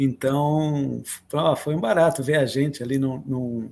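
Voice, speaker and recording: In a very clean recording with a silent background, a man speaks with a dark, mellow tone and ordinary pitch variation. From Atibaia, São Paulo state, Brazil. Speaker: musician and composer. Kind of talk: interview.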